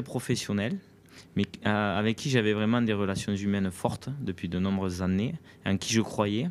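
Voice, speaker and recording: Speaking with a southwestern French accent, a man uses a fairly low pitch and ordinary pitch variation. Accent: southwest French. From southwest France, Aveyron. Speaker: national enduro team coach. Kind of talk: interview. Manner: halting, many repetitions and fillers.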